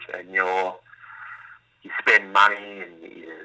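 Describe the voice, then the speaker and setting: Speaking fairly slowly, a man talks in an Australian accent. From Melbourne, Australia. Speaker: former pro footballer, mental health advocate. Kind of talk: interview. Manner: halting, many fillers.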